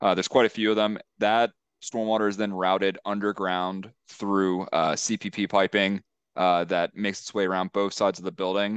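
Over a quiet background, a man talks at a moderate pace in a monotone, flat way. The sound is dry with no echo. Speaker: civil engineer presenting to a town board. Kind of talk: technical, professional. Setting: virtual public hearing. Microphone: video call.

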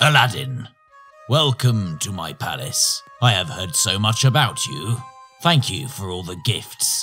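A cartoonish character voice from a man at a medium pitch and fairly slow pace, with faint music in the background. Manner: regal, commanding.

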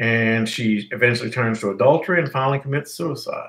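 A man talks at a fairly slow pace. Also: quiet background. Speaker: teacher. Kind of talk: lecture. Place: home room. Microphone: webcam.

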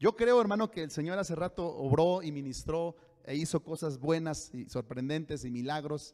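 At a moderate pace, a man speaks with a dark, mellow tone and lively intonation over a quiet background. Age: 40s. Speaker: pastor. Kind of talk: sermon. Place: church. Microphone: handheld.

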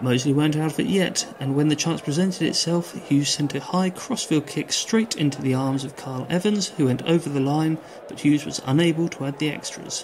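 There is noticeable background noise as a man speaks with hardly any pauses. His pitch is fairly high, with ordinary variation. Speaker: sports commentator. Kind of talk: sports commentary. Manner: brisk, clipped match-report delivery; even, informative and polished, with a promotional sign-off.

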